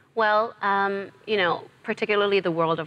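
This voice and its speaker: A woman talks fairly quickly, her pitch varying in an ordinary way, while noticeable background noise fills the recording. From New York, raised by South African parents. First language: Zulu. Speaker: actress. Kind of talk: TV interview.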